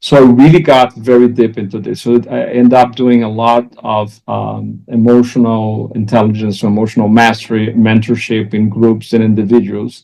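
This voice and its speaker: A man with a Portuguese accent talks at a moderate pace in a medium pitch, with hardly any pauses. His intonation is monotone and flat. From Brazil. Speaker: executive coach. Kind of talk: interview.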